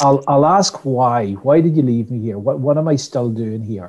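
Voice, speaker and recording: A man with a Donegal accent speaks at a medium pitch in a dark, mellow tone with lively intonation. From Ireland, West Donegal. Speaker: customer experience trainer. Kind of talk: interview. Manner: repetitive false starts.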